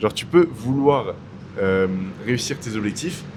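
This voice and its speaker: A man speaks at a moderate pace, his medium-pitched voice full of lively intonation. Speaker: YouTuber. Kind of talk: casual vlog talk. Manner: loud; casual, hesitant with fillers.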